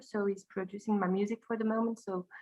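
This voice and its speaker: A woman's fairly high voice with a non-native accent and fairly even intonation. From Belgium. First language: French. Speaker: high school teacher and singer. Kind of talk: interview. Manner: halting.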